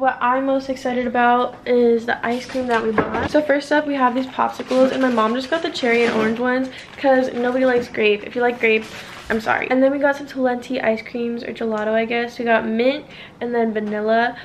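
A woman's high-pitched, monotone, flat delivery at a fairly quick pace over noticeable background noise. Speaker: vlogger. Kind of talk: casual vlog chat. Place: kitchen. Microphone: phone near.

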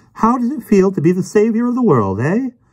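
A man puts on a character voice with a high pitch, big pitch swings, a slightly husky edge and a slightly mellow tone, moving at a fairly quick pace.

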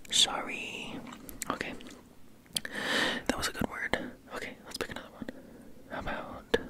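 Whispering at a moderate pace, a man takes long, frequent pauses, with big swings in loudness. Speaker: ASMR creator. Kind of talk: ASMR trigger words. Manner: whispered, soft-spoken. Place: home room. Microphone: studio mic.

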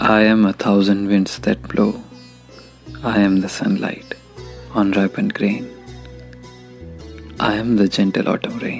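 A man's fairly low voice with lively intonation, at a fairly slow pace with long, frequent pauses, over music in the background. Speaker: voice actor. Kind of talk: poetry reading.

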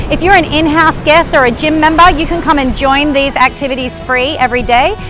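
Clear music sits behind a woman speaking fairly quickly in a high voice with ordinary pitch variation, the sound dry with no echo. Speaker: presenter. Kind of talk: presenter piece to camera. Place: beach. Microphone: lapel.

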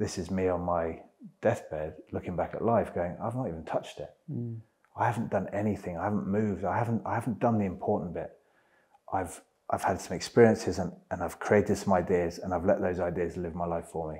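Against a quiet background, a man talks fairly quickly in a dark, mellow, very deep, low voice. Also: ordinary pitch variation. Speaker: interview guest. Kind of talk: interview answer. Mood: reflective, earnest. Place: home room. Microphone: lapel.

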